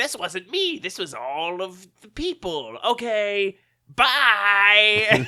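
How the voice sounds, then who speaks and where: A female-sounding voice puts on a character voice at a medium pitch and very slow pace in a very clean recording with a silent background. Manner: breezy, dismissive.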